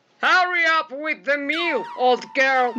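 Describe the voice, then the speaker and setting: Putting on a gruff character voice, a woman talks at a fairly slow pace with a high pitch and lively intonation. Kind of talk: acted dialogue in a read-aloud picture book. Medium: read story. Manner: gruff, bossy.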